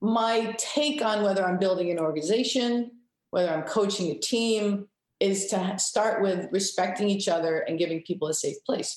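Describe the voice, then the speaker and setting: With an American accent, a woman talks at a moderate pace, her medium pitch showing ordinary variation. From Rhode Island, US (Cranston). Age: 50s. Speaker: hockey coach. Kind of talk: interview.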